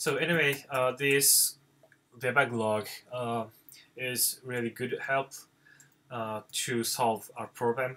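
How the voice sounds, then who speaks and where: Very slowly and with long, frequent pauses, a man with a non-native accent speaks at medium pitch in a bright, sharp tone with fairly even intonation. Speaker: software developer. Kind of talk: tutorial. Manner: halting, many fillers.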